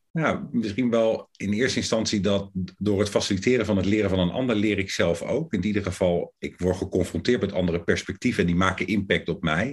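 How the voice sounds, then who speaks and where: A man's fairly low voice with ordinary pitch variation, a fairly quick pace and hardly any pauses. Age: 50s. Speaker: coaching lecturer. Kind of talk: interview. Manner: hesitant.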